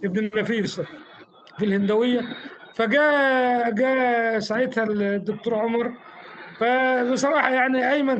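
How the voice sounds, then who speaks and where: A fairly slow delivery with an Egyptian accent, ordinary pitch variation and audible room echo. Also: man. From Egypt, Fayoum. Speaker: former Islamist activist. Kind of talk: interview. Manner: halting, repeats words.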